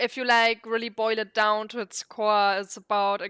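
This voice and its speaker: Speaking at a moderate pace in a non-native accent, a woman uses a medium pitch and monotone, flat intonation with a bright, sharp tone. The recording is very clean with a silent background and a dry, close sound with no echo. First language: not English. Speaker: vtuber streamer. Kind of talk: casual gameplay commentary. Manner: halting.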